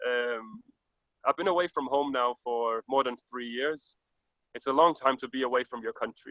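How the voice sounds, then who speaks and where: With a Danish accent, this man talks at a moderate pace in a medium pitch, his bright, sharp tone and fairly even intonation captured in a dry, close sound with no echo. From Denmark. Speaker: overland world traveller. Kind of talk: interview.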